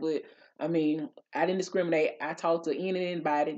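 A woman with a fairly low voice talks at a very fast pace, her pitch varying in an ordinary way over a quiet background. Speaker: vlogger. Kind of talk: casual storytime vlog chat. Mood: animated, laughing, indignant. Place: home room. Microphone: studio mic.

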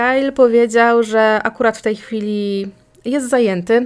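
Here a woman has an ordinary speaking voice. Her pitch is fairly high, with ordinary pitch variation. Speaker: podcast host, true crime narrator. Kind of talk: true-crime narration, scripted-style storytelling. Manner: even, measured, matter-of-fact; informal, conversational asides.

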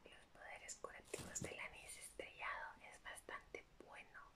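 Against loud background noise, the speaker whispers in a soft-spoken way at a fairly slow pace. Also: woman. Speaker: ASMR creator. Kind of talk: soft ASMR show-and-tell. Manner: soft ASMR whisper, close to the mic. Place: home room.

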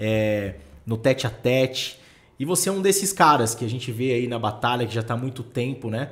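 A Brazilian accent with lively intonation. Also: man, medium pitch for a man, moderate pace. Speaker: podcast host, real estate. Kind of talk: casual podcast interview. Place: studio. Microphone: studio mic.

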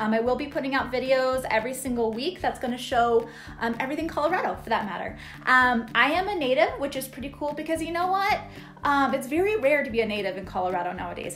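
Faint music plays in the background. A woman talks at a very fast pace in a high pitch. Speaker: real estate agent vlogger. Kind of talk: casual vlog chat. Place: home room. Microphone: phone near.

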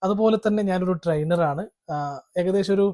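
A man speaks with a Kannada accent and a dark, mellow tone. His pitch varies in an ordinary way, and the sound is dry and close with no echo. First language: Kannada (speaking Malayalam). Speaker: trainer and YouTuber. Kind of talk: vlog monologue. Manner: halting.

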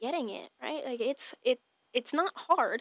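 The voice is bright and sharp, at a moderate pace with ordinary pitch variation. The sound is dry with no echo, and the background is quiet. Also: woman. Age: 20s. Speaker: fitness trainer and baker, entrepreneur; fitness trainer. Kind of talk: casual interview chat; interview answer. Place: studio. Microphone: studio mic.

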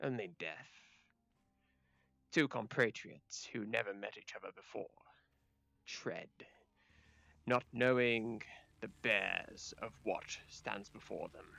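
Pacing himself fairly slowly, a man leaves long, frequent pauses. His pitch is medium. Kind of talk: dramatic fantasy narration. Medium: game stream. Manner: ominous, grandiose.

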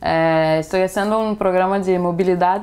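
A woman talks at a moderate pace in a medium pitch with ordinary pitch variation. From Brazil, Itaboraí, Rio de Janeiro state; Rio de Janeiro state, Brazil. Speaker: exchange student. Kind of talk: interview. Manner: halting, code-switching Portuguese and Spanish. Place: home room.

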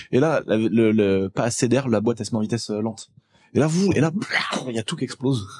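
A man's animated, very fast speech with ordinary pitch variation and long, frequent pauses over a quiet background. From rural France. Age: 20s. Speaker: automotive YouTuber. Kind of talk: casual chat. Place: studio. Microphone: studio mic.

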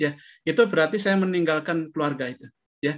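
Over a quiet background, a man talks at a moderate pace. His voice is fairly high-pitched with ordinary pitch variation. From Indonesia, Surakarta (Central Java); Central Java, Indonesia. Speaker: professor and remote sensing researcher; professor. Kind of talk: interview. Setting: video call. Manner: halting, many fillers. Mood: warm, smiling, relaxed. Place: home room. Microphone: webcam.

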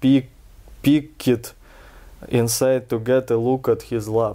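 A man with a Russian accent speaks at a medium pitch in a dark, mellow tone, his intonation flat and monotone against a quiet background. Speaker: reader of a fairy tale. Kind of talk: storybook reading. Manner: relaxed. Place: home room. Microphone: camera far.

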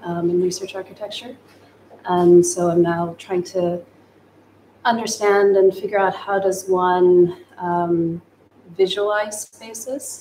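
An ordinary speaking voice at a fairly slow pace with fairly even intonation, over light background noise. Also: woman. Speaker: photojournalist. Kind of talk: panel discussion. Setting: livestream. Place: studio.

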